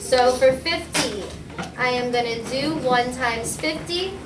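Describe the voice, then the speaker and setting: Over noticeable background noise and audible room echo, a woman speaks in a raised, projected voice. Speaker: math teacher. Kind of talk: tutorial.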